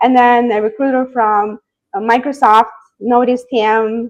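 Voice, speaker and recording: Speaking very slowly with a non-native accent, a woman uses a fairly high pitch and ordinary pitch variation. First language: not English. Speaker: software engineer. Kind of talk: interview. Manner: hesitant, many fillers.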